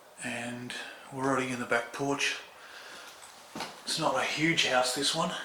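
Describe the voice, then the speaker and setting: A man with an Australian accent speaks with fairly even intonation and long, frequent pauses. Noticeable background noise and audible room echo surround him. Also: medium pitch for a man, moderate pace. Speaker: urban explorer vlogger. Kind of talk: exploration vlog narration. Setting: inside abandoned house.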